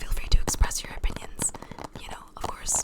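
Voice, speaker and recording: A woman whispers over noticeable background noise. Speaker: ASMR creator. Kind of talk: ASMR whispered chitchat. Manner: whispered.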